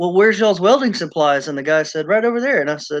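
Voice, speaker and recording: In a Southern US accent, a man with a high pitch talks at a very fast pace. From US South, Charleston, South Carolina. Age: 40s. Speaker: prepper channel host. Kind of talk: casual chat.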